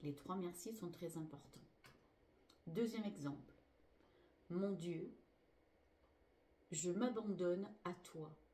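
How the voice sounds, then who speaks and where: A woman speaks very slowly with long, frequent pauses, at a fairly low pitch. Her tone is dark, mellow and somewhat breathy, with audible room echo. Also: ordinary pitch variation. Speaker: spiritual healer. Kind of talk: spiritual teaching.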